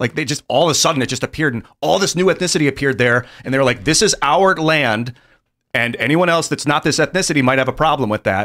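Against a quiet background, a man speaks at a very fast pace in an animated tone with lively intonation. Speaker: talk show co-host. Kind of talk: casual panel talk show. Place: studio. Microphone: studio mic.

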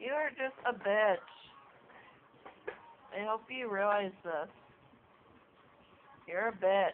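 A woman mumbles at a very slow pace with long, frequent pauses and ordinary pitch variation over light background noise. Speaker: cat owner. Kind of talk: casual talk to a pet on camera. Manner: mumbling. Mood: teasing, mock annoyed. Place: home room. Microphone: phone near.

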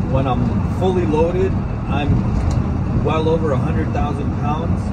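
Loud background noise runs under the recording. A man speaks at a fairly slow pace. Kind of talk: casual vlog chat. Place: car. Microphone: phone near.

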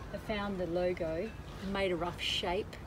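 A woman's voice over noticeable background noise. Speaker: sailing vlogger. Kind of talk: casual vlog chat. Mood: cheerful, amused. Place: boat. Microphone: phone near.

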